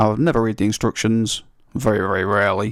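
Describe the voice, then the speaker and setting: A man with an English accent at a fairly quick pace, fairly even intonation, and a dry, close sound with no echo. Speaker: gaming youtuber. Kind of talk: gameplay commentary. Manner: casual, hesitant with ums.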